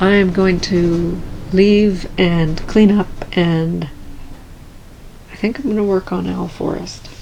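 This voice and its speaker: A woman with a medium pitch speaks in a calm tone at a very slow pace with fairly even intonation. There is noticeable background noise and audible room echo. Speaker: cross stitch video creator. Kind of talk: casual vlog talk.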